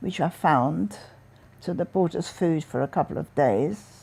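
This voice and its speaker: The voice has a dark, mellow tone with vocal fry and a fairly slow pace. The recording is very clean, with a silent background. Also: woman. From Vienna, Austria. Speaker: Holocaust survivor. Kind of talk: interview answer.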